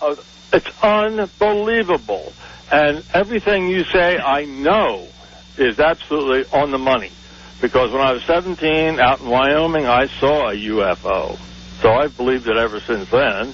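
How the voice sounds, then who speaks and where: Noticeable background noise sits behind a man at a fairly high pitch. He talks at a moderate pace with very wide pitch swings. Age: 60s. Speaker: caller. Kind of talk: call-in radio talk. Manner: halting, many fillers.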